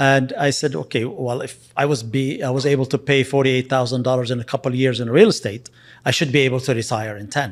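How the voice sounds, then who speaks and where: Talking at a very fast pace with a Lebanese accent, a man uses a medium pitch and ordinary pitch variation on a very clean recording with a silent background. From Lebanon. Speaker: real estate investor and agent. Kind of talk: interview. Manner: halting.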